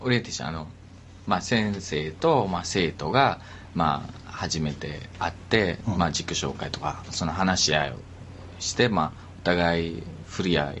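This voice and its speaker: A man talks with a very deep, low pitch and ordinary pitch variation. There is noticeable background noise. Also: moderate pace. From Sri Lanka. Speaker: company employee. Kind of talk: casual chat.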